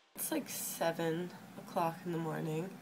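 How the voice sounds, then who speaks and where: Using a put-on character voice, a woman speaks hoarse and raspy at a moderate pace, fairly low in pitch with monotone, flat intonation, against noticeable background noise. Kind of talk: casual vlog chat.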